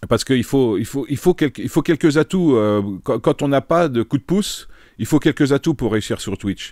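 Medium-pitched man at a moderate pace with lively intonation, on a very clean, dry, close recording with a silent background and no echo. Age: 50s. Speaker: streamer. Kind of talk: casual live-stream chat while solving chess puzzles. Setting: live stream. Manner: halting, many repetitions and fillers.

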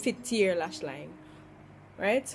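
A woman with a Jamaican accent at a fairly slow pace, lively in her intonation, over faint background music. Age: 20s. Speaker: beauty vlogger. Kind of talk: makeup tutorial talk to camera. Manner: casual, chatty. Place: home room. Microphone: phone near.

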